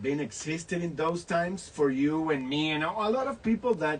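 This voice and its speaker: In a Spanish accent, a man talks with lively intonation at a fairly high pitch. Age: 60s. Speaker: actor and online show host. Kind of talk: casual interview.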